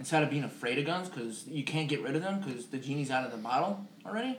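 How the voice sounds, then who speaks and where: A man talks with a fairly high pitch. Noticeable background noise sits behind his voice. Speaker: podcast co-host. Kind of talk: casual banter podcast. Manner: soft-spoken.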